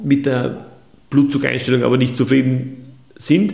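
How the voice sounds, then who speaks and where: The speech moves at a moderate pace with audible room echo. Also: man. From Austria. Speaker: physician. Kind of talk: interview. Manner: formal.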